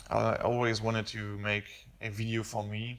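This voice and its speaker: A man with a non-native accent, fairly low in pitch and monotone with flat intonation, on a very clean recording with a silent background. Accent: noticeable non-native English. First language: not English. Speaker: car hobbyist YouTuber. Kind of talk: casual vlog talk. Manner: halting, many fillers. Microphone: camera built-in microphone, possible echo.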